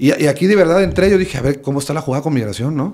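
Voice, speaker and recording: A man talking at a very fast pace, animated in tone, with ordinary pitch variation. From Veracruz, Mexico. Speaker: stand-up comedian. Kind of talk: casual chat. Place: home room. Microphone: studio mic.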